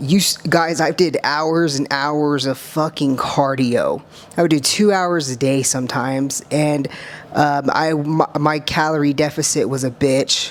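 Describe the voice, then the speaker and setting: Noticeable background noise sits behind a woman with an American accent and a very deep, low pitch. She speaks at a fairly slow pace with fairly even intonation. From US, small towns. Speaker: bodybuilder and content creator. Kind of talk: reaction video commentary. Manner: casual, filler-heavy (um, uh).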